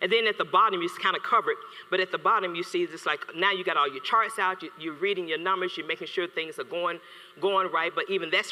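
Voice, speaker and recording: The voice is raised and projected, with ordinary pitch variation. The pace is fairly quick. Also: man. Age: 50s. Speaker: HR consultant. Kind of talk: conference talk. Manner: fast; animated.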